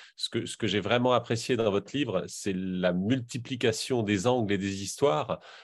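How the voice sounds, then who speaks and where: Against a quiet background, a man with an unremarkable speaking voice talks at a fairly slow pace, with a medium pitch and ordinary pitch variation. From Normandy. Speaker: audience member. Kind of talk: audience question. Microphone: video call.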